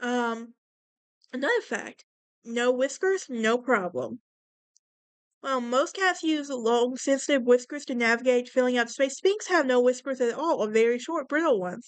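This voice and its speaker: With a Southern US accent, the speaker keeps a moderate pace and ordinary pitch variation. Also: woman, high pitch for a woman. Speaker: podcast host. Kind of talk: casual podcast monologue reading facts. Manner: casual, with fillers and stumbles.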